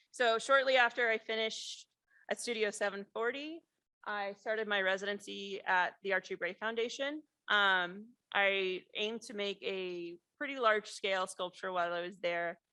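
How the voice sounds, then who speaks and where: Against a quiet background, a woman with an American accent talks at a medium pitch in a bright, sharp tone. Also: ordinary pitch variation, moderate pace. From US Midwest, rural Missouri. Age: 30s. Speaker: ceramic artist and professor. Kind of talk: artist talk. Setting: lecture hall with audience. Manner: casual, many filler words.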